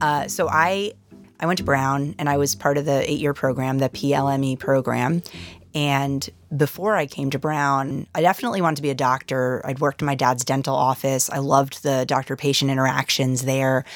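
In a very clean recording with a silent background, a woman with a very deep, low pitch speaks at a moderate pace in an enthusiastic tone. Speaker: neurologist and professor. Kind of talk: interview.

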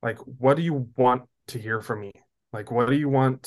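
The man has an unremarkable speaking voice at medium pitch. His intonation stays fairly even. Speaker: conference co-founder, young adult ministry leader. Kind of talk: interview.

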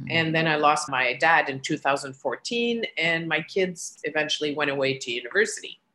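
A woman's very deep, low voice at a moderate pace, with ordinary pitch variation and hardly any pauses. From Quebec, Montreal. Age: 60s. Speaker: podcast listener. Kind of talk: casual interview. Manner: animated.

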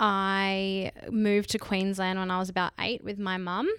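A woman with an Australian accent, medium pitch and a fairly slow pace, on a very clean recording with a silent background. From Western Australia, Perth. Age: 20s. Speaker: business manager. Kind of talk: interview. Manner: hesitant, many fillers.

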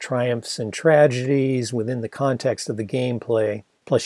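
Plain reading aloud with fairly even intonation against a quiet background

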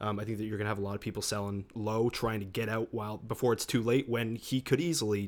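A man's medium-pitched voice with an American accent at a very fast pace, on a very clean recording with a silent background. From Massachusetts. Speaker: podcast co-host. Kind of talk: casual podcast chat about fantasy football.

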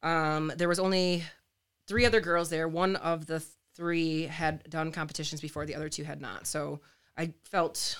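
An unremarkable speaking voice from a woman, fairly low in pitch, at a moderate pace with fairly even intonation, in a very clean recording with a silent background. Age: 30s. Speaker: fitness enthusiast and former pastor. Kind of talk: casual interview.

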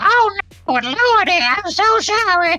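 A man puts on a character voice at an extremely high pitch, speaking at a fairly slow pace with music in the background. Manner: apologetic, exclaiming.

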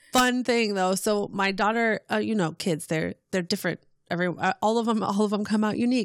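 In a very clean recording with a silent background and a dry, close sound with no echo, a woman with an ordinary speaking voice talks at a medium pitch, with very even loudness and fairly even intonation. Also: fairly quick pace. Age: 30s. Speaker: podcast guest, mother and geek. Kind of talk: casual chat.

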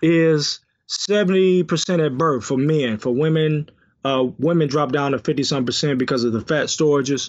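A man talks with an American accent and an unremarkable speaking voice. His pitch is fairly high, with ordinary variation, at a moderate pace. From Detroit, US. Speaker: health consultant and author. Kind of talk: casual interview. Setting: phone call.

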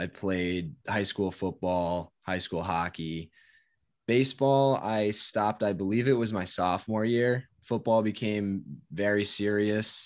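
Over a quiet background, a man speaks fairly slowly at a fairly low pitch with ordinary pitch variation. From US Northeast (Connecticut). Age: 20s. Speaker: fitness content creator. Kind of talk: casual chat.

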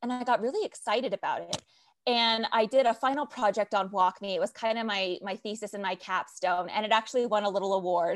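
A woman speaks at a very fast pace with a fairly high pitch and ordinary pitch variation. The sound is dry and close with no echo over a quiet background. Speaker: digital adoption leader. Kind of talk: interview. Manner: animated.

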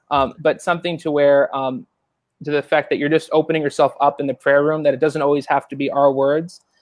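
Fairly high-pitched, a man talks in a normal speaking voice. His pace is fairly quick and his intonation fairly even. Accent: American. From Long Island, New York, then Florida from 13. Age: 20s. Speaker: churchgoer sharing testimony. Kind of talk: testimony.

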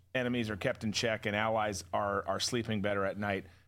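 On a very clean recording with a silent background, a man with a fairly low pitch and a bright, sharp tone speaks at a fairly quick pace with fairly even intonation. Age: 40s. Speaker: podcast host and former counterterrorism officer. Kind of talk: casual political commentary show. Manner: conversational, with frequent repetitions and stumbles.

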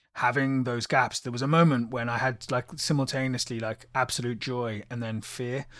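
A man with a British accent speaks in a bright, sharp tone at a moderate pace. His intonation is fairly even on a very clean recording with a silent background. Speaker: musician. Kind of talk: casual chat.

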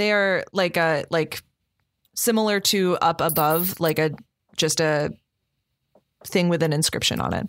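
A woman's fairly low-pitched voice with very even loudness, fairly even intonation and long, frequent pauses, on a very clean recording with a silent background. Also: fairly slow pace. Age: 20s. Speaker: dungeon master of actual play podcast. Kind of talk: tabletop game narration.

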